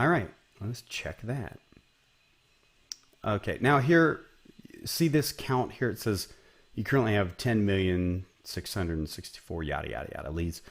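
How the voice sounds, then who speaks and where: A man with an Ohio accent speaks at a moderate pace and fairly low pitch, with very wide pitch swings. Long, frequent pauses break up the very clean recording, whose background is silent. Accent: Ohio Midwest. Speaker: business coach. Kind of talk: tutorial. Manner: casual, conversational.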